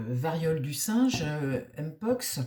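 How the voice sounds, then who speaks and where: A woman speaks with a very deep, low pitch. Her pitch swings very widely. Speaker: tarot reader. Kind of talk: casual monologue. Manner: halting, many hesitations.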